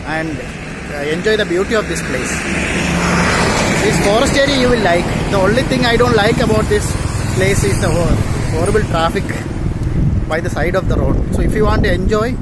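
Over loud background noise, a man speaks at a fairly quick pace, the sound dry with no echo. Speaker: travel blogger. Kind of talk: casual vlog chat. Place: street. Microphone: phone near.

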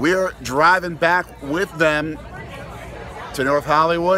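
A man talks at a fairly slow pace. The sound is dry with no echo, and faint music plays in the background. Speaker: father vlogger. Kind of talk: casual vlog chat. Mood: enthusiastic, upbeat. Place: street. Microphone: phone near.

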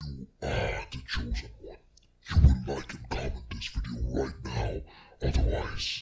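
At a moderate pace, a man puts on a raspy character voice with a very deep, low pitch. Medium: tutorial demo. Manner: menacing, intimidating.

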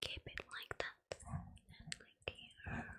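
A woman whispers in a gentle tone over light background noise. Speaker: role-play host. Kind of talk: soft-spoken ASMR role play. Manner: gentle whispered praise and instructions.

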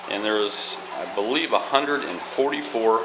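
A man talks at a fairly slow pace in a fairly low pitch. Noticeable background noise runs under his voice. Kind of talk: tutorial. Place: home room. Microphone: phone near.

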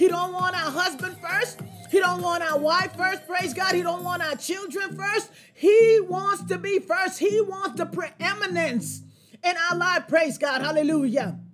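Over music in the background, a woman talks at an extremely high pitch. She goes fairly slowly, with ordinary pitch variation. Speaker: preacher or Bible teacher. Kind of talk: sermon. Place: home room.

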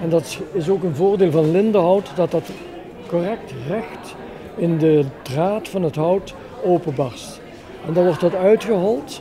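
Over crowd noise in the background, a man speaks very slowly at a high pitch with ordinary pitch variation. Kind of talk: demonstration explanation. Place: hall. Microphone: handheld.

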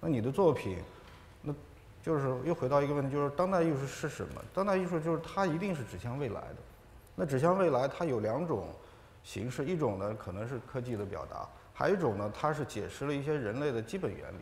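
With audible room echo, a man talks at a fairly quick pace in a fairly high pitch with lively intonation. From China, Ningxia. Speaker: artist and scholar; panelist. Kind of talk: panel discussion. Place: hall.

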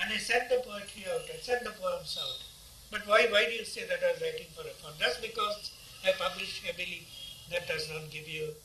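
Speech comes at a fairly quick pace in an Indian accent, with big swings in loudness. Audible room echo and light background noise are present. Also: man. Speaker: poet. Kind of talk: interview answer. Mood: defensive, slightly indignant. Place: home room.

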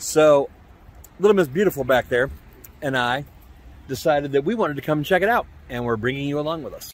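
A man's voice at a fairly quick pace, with ordinary pitch variation and a dry sound with no echo. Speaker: vlogger. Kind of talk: casual vlog chat. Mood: cheerful, joking. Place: street. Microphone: phone near.

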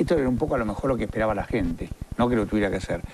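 A man speaks at a very fast pace. Light background noise sits behind him. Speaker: TV host interviewer. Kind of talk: interview debate. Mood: argumentative, persuasive. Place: studio. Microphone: lapel.

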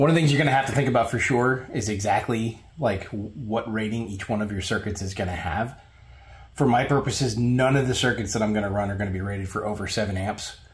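This man talks at a very fast pace with a fairly low pitch, ordinary pitch variation and a somewhat breathy voice. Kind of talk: tutorial. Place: garage.

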